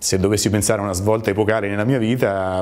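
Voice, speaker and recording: This man talks at a very fast pace. His pitch is fairly low and his intonation fairly even. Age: 50s. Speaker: business owner. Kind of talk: interview testimony; interview answer. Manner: halting, with repetitions. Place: office. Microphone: lapel.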